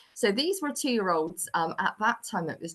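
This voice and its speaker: A woman at medium pitch, with lively intonation and a moderate pace. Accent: Bristol. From England, Bristol. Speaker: early years lecturer and researcher. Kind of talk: webinar presentation. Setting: online webinar with screen sharing.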